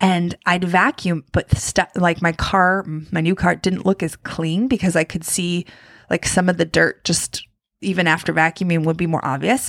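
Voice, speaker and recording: Fairly low-pitched, a woman is heard in a dry, close sound with no echo on a very clean recording with a silent background. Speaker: habit coach and podcaster. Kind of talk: solo podcast monologue, casual. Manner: fast talker; animated, laughing, casual.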